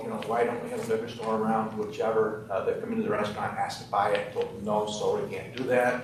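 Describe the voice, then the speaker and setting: A man of medium pitch at a fairly quick pace, amid noticeable background noise and audible room echo. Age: 60s. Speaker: business owner applying for liquor license. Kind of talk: testimony at licensing hearing. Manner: halting, many fillers.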